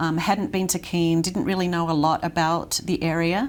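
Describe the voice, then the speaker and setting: A woman with an Australian accent, fairly low pitch and a fairly slow pace. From Australia, Sydney. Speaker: nonprofit worker. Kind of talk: interview.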